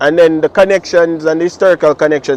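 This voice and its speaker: A man with a Jamaican accent at a very fast pace, dry and close with no echo. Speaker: dub poet. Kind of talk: interview answer.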